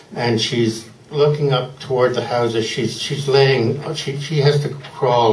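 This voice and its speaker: A man talks at a fairly slow pace with fairly even intonation. Room echo can be heard. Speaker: poet at a reading. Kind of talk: introduction before a poetry reading. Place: bar. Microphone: handheld.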